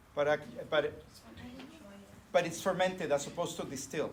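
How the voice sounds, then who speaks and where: A man speaks at a high pitch in a Spanish accent. Audible room echo surrounds his voice. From northern Mexico (Monterrey). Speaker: professor. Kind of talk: lecture. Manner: halting, many fillers.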